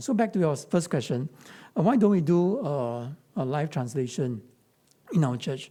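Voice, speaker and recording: A man with a Chinese accent speaks in a dark, mellow, somewhat breathy tone at a fairly high pitch, with lively intonation. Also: very clean recording, silent background. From Singapore. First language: Mandarin Chinese. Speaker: pastor. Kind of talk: Q&A talk.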